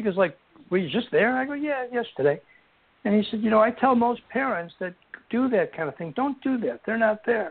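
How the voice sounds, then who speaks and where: Speaking at a fairly quick pace, a man with an American accent uses a high pitch and lively intonation. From Buffalo, New York. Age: 60s. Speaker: author and bereaved father. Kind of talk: interview.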